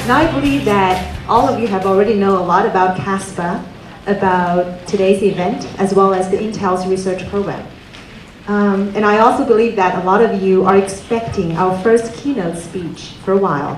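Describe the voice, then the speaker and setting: A woman's voice with ordinary pitch variation, audible room echo and music in the background. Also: moderate pace. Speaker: event host introducing speaker. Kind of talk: speech introduction. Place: hall. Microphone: handheld.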